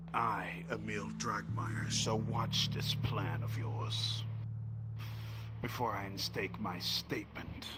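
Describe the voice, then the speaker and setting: A man's put-on character voice at a very slow pace over loud background noise. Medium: actual play. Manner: grandiose, stilted.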